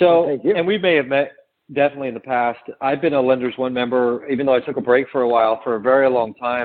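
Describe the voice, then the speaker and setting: Talking at a very fast pace, the man keeps a medium pitch with ordinary pitch variation. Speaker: mortgage technology vendor. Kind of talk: interview.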